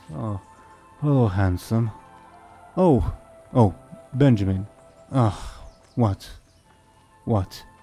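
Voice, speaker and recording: Growling in a put-on character voice, the speaker talks at a very slow pace with long, frequent pauses over faint music in the background. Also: man, fairly low pitch for a man. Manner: growling, groggy.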